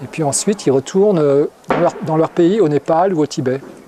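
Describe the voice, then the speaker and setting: The voice has ordinary pitch variation. Noticeable background noise runs behind it. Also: man. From France. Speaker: Buddhist monk. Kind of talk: interview. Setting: monastery. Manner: halting, many repetitions.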